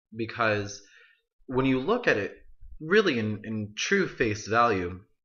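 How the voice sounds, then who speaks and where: The pace is fairly slow. It is a man who speaks. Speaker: college student. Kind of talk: video essay monologue. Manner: casual, halting with self-corrections.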